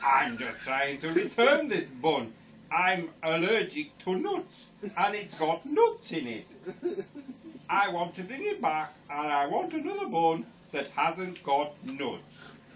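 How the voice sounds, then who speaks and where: A man speaks in a put-on character voice, pitched high. His pace is fairly slow. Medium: read story.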